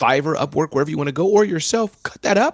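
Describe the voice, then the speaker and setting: Speaking very fast in an animated tone, a man shows vocal fry. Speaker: entrepreneur and keynote speaker. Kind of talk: interview.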